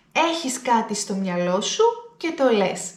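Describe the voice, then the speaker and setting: A woman speaks with lively intonation at a fairly high pitch. Audible room echo and noticeable background noise surround her voice. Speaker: Greek language teacher. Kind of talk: language lesson to camera. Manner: deliberately slowed, clear speech.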